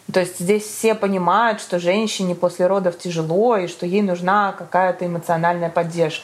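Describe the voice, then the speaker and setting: A woman speaks at a moderate pace and medium pitch with fairly even intonation over noticeable background noise. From Moscow, Russia. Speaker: entrepreneur and new mother. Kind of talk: casual interview.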